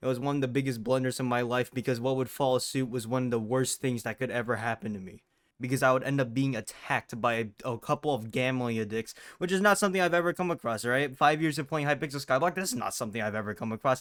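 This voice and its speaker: His pitch shows ordinary variation. The man's delivery is very fast. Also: medium pitch for a man, very clean recording, silent background. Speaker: gaming YouTuber. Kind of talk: casual gaming commentary.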